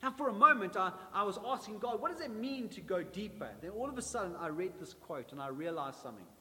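A man's high voice is raised and projected, with a warm tone and very wide pitch swings. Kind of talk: sermon. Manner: emphatic, repetitive preacher cadence, building with triple repetition; warm, exhorting, direct address to congregation.

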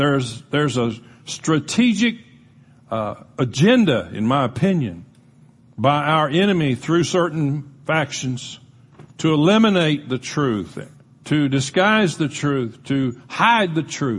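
The delivery is very slow and somewhat breathy. Pitch swings very widely. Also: man, fairly high pitch for a man. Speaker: pastor. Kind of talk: sermon. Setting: church.

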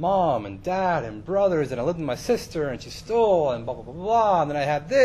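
What comes through is a natural reading voice.

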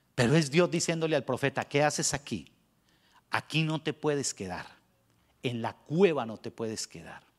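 Recorded very clean against a silent background, with a dry, close sound and no echo, a man with a fairly high pitch and vocal fry talks at a moderate pace with long, frequent pauses. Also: ordinary pitch variation. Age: 50s. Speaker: pastor. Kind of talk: sermon.

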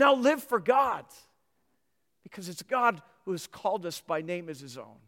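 The speaker has an American accent and an animated tone, moving at a fairly slow pace with very wide pitch swings. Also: man. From Minnesota. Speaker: pastor. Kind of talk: sermon.

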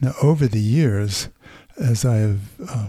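With a dark, mellow tone and a somewhat breathy quality, a man speaks at a fairly low pitch with ordinary pitch variation in a very clean recording against a silent background. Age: 70s. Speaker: church elder. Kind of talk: casual chat.

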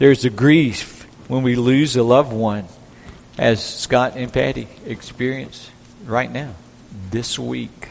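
Long, frequent pauses break up a man's very slow speech, delivered at medium pitch with fairly even intonation. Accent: Southern US. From US South. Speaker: pastor. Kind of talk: sermon.

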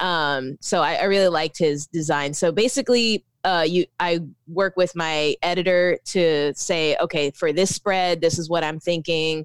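Speaking in an American accent with hardly any pauses, a woman uses an ordinary speaking voice at a moderate pace. Her pitch is fairly low with ordinary pitch variation, and the sound is dry and close with no echo. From Philippines, raised Orlando, US. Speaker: author and poet. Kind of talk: interview.

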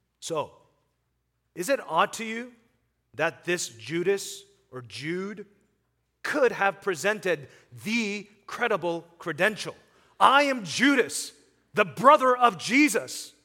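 A man's raised, projected voice, high in pitch for a man, bright and sharp in tone, with lively intonation, a very slow pace, long, frequent pauses and big swings in loudness. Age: 30s. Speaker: pastor. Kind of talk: sermon.

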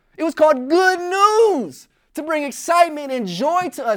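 In a very clean recording with a silent background, a man with an American accent speaks with very wide pitch swings. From US Midwest, Joliet, Illinois. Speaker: youth pastor. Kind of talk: sermon.

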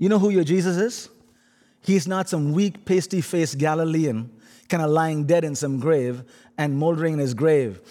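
With an Indian accent, a man talks at a moderate pace in a fairly high pitch with ordinary pitch variation and a dark, mellow tone, on a very clean recording with a silent background. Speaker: guest preacher. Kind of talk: sermon. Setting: church.

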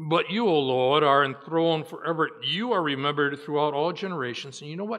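This is an ordinary speaking voice with ordinary pitch variation and hardly any pauses. Its loudness swings widely. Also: man, fairly high pitch for a man. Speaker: preacher. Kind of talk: sermon; fervent prayer at the close of a sermon, spoken to God with solemn, pleading earnestness. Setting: church. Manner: earnest, pleading, slow and heartfelt, with deliberate pauses in the prayer; formal, teacherly.

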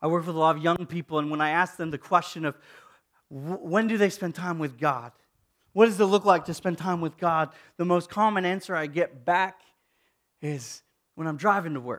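A man talks in a high voice with ordinary pitch variation. His long, frequent pauses sit on a very clean recording with a silent background. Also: moderate pace. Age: 30s. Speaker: pastor. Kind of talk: sermon.

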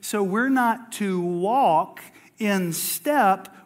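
Lively intonation marks this man's high-pitched voice. Noticeable background noise can be heard. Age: 40s. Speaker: pastor. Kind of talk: sermon. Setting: church.

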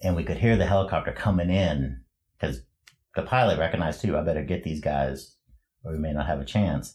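A man with a very deep, low pitch and vocal fry talks at a very fast pace with lively intonation. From western Canada, Prince George, British Columbia. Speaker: church volunteer. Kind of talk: interview testimony.

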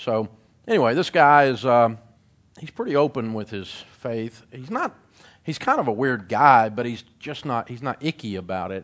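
This man talks at a moderate pace with a Tennessee accent and lively intonation. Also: quiet background. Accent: Southern US (Tennessee). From Middle Tennessee (Nashville area). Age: 50s. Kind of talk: testimony speech. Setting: stage with audience.

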